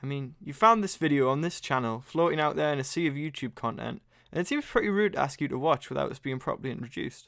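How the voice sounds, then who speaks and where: In a very clean recording with a silent background, someone talks at a fairly quick pace with a Geordie accent. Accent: Geordie (Newcastle). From northern England, Newcastle upon Tyne. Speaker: vlogger, aspiring filmmaker. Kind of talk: scripted narration. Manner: casual, humorous.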